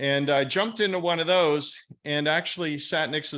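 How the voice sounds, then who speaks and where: Bright and sharp in tone, a man with a fairly high pitch speaks at a moderate pace with ordinary pitch variation on a very clean recording with a silent background. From US Northeast. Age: 60s. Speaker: real estate investor. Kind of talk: podcast interview.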